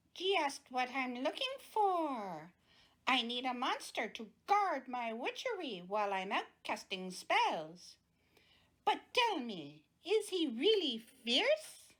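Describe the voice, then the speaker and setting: In a put-on character voice, a female-sounding speaker talks very slowly at a high pitch, swinging widely up and down. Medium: read story. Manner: sharp, snapping.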